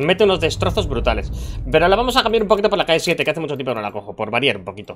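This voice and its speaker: The speech comes at a very fast pace in a Castilian accent. Light background noise sits underneath. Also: man. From Spain. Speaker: gaming youtuber. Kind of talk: live gameplay commentary. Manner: animated. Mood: joking, mildly exasperated. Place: home room. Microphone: headset.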